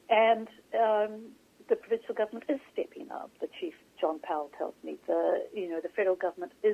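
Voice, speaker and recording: A woman with a New Zealand accent speaks at a fairly quick pace. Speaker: author and journalist. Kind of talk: interview. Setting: phone call.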